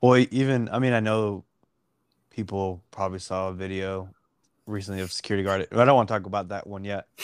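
Fairly quick man with a Texan accent, fairly low pitch and fairly even intonation, on a very clean recording with a silent background and a dry, close sound with no echo. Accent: Texan American English. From Dallas, Texas. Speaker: podcast co-host. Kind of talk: casual chat.

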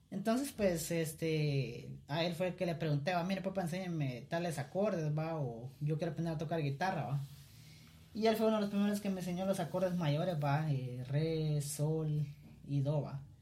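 Pitched fairly high, a man speaks at a moderate pace with ordinary pitch variation. Noticeable background noise and audible room echo fill the recording. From Guatemala (Cuilapa, Santa Rosa). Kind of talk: casual chat.

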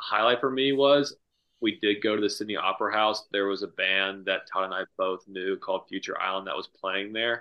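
A man with an American accent uses a normal speaking voice at a fairly low pitch, speaking at a moderate pace with fairly even intonation. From northeastern US. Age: 20s. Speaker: golf professional. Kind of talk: casual chat. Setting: video call.

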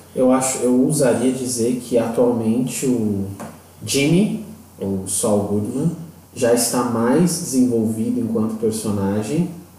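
With noticeable background noise and audible room echo, a man speaks at a very slow pace in a medium pitch with ordinary pitch variation. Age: 30s. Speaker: podcast co-host, English teacher. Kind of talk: casual chat.

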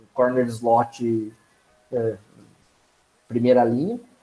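Over background music, a man delivers his words at a fairly slow pace. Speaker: NFL fan commentator. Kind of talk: casual sports talk.

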